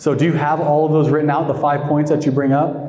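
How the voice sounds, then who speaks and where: With noticeable background noise and audible room echo, a man talks at a fairly high pitch. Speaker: sales coach. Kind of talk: training session Q&A.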